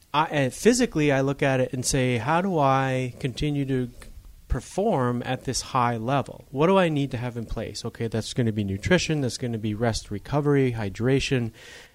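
With an American accent, a man talks at a fairly quick pace in a medium pitch, using ordinary pitch variation and an ordinary speaking voice. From Upper Michigan. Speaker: podcast host, chiropractor. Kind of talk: casual interview.

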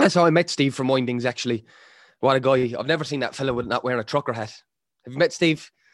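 Against a quiet background, a man with a strong Irish accent and medium pitch talks at a very fast pace with ordinary pitch variation. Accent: thick Irish. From Ireland. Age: 20s. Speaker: rapper. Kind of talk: casual chat.

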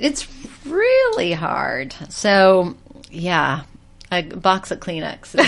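Speaking with an American accent at a very slow pace, a woman at medium pitch makes very wide pitch swings. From US South, Georgia. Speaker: TV style expert. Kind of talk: casual chat.

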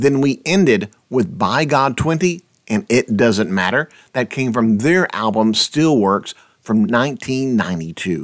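At a very slow pace, a man with a medium pitch speaks in an upbeat tone with very wide pitch swings on a very clean recording with a silent background. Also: very even loudness. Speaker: radio host. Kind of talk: radio DJ patter introducing tracks and show info. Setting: radio show recorded from the US for a UK internet station. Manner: friendly, upbeat, conversational.

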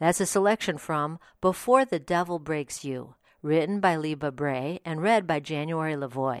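Recorded very cleanly against a silent background, the speech moves at a moderate pace with ordinary pitch variation. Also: woman, very deep, low pitch for a woman. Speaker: podcast host. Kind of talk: scripted review introduction.

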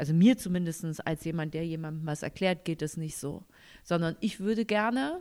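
In a normal speaking voice with lively intonation, the speaker moves at a moderate pace on a very clean recording with a silent background. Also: woman. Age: young. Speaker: podcast co-host. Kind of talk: casual chat.

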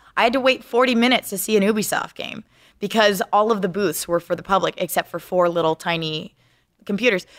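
Speaking at a very fast pace, a woman uses a medium pitch with ordinary pitch variation in a dry, close sound with no echo. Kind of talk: casual chat.

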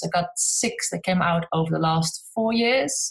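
A woman with a Dutch accent speaks at a moderate pace and medium pitch. Her voice is somewhat breathy, with ordinary pitch variation. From Netherlands. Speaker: craft book author and DIY content creator. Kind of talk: casual interview chat.

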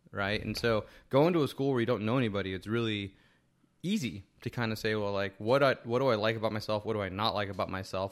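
Someone with an American accent talks at a very fast pace with fairly even intonation on a very clean recording with a silent background. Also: man. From New Jersey, Hackensack. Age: 40s. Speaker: tech entrepreneur and author. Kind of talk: casual interview chat. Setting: host's apartment studio.

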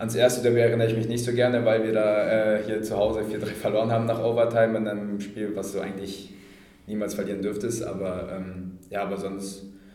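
Fairly quick, flat, monotone speech from a man with a fairly low pitch, loudness swinging widely, with noticeable background noise and audible room echo. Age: 20s. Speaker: professional ice hockey player. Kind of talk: interview. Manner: hesitant with fillers.

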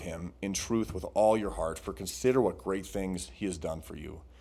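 A man with a fairly low pitch and a dark, mellow tone speaks at a moderate pace with lively intonation. Audible room echo surrounds his voice. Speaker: podcast co-host. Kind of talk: casual chat; sermon.

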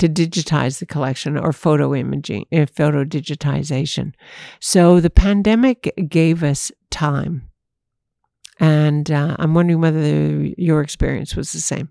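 With a very deep, low pitch and a dark, mellow tone, a woman speaks at a moderate pace with ordinary pitch variation, in a very clean recording with a silent background and a dry, close sound with no echo. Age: 60s. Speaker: ornithologist. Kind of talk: interview.

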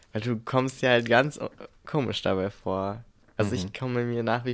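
A man with a medium-pitched, unremarkable speaking voice talks at a moderate pace with ordinary pitch variation. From Brandenburg, Germany. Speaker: podcast co-host. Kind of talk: casual chat.

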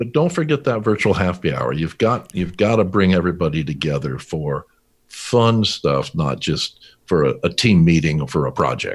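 A man with a very deep, low voice and vocal fry speaks at a moderate pace in a Californian accent. His pitch swings very widely. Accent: Californian American. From US West Coast, California. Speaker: business founder and CEO. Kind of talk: interview. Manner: halting.

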